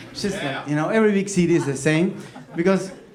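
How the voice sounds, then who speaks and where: A man with a Uruguayan accent at a fairly quick pace, amid noticeable background noise and audible room echo. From Uruguay, Montevideo. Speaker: comedic storyteller, copywriter. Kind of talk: stand-up storytelling. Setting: stage with audience.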